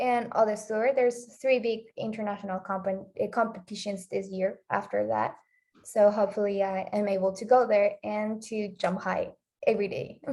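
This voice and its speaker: A woman with a Spanish accent speaks at a moderate pace in a dark, mellow tone, her fairly high pitch held in a flat monotone. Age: 20s. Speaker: athlete. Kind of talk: interview. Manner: halting.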